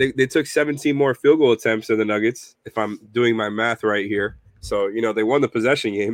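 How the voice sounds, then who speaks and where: A man with a normal speaking voice talks at a fairly quick pace with hardly any pauses, a medium pitch and fairly even intonation, in a dry, close sound with no echo against a quiet background. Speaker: sports podcast co-host. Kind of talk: sports analysis discussion.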